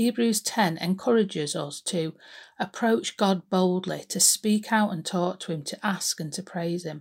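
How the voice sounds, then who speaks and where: Somewhat breathy and at a medium pitch, a woman speaks at a fairly slow pace with ordinary pitch variation in a very clean recording with a silent background. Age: 50s. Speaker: church devotional speaker. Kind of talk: devotional talk.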